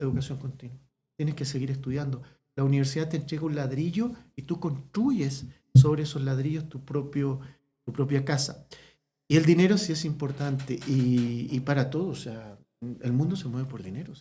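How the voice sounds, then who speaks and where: Soft-spoken and somewhat breathy, a man with a fairly high pitch and a dark, mellow tone shows big swings in loudness. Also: ordinary pitch variation. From Chile, small town. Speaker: veterinary ophthalmologist. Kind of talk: casual interview chat. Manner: fast.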